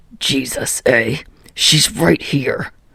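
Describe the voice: A put-on character voice, slow and bright with a sharp tone, a slightly husky edge, vocal fry and ordinary pitch variation. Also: woman, extremely low pitch for a woman.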